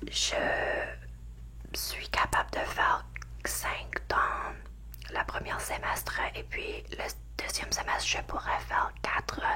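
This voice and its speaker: Amid noticeable background noise, a woman whispers at a very slow pace with long, frequent pauses. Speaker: ASMR creator; university or school student taking summer courses. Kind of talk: whispered ASMR ramble to camera. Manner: whispered, soft.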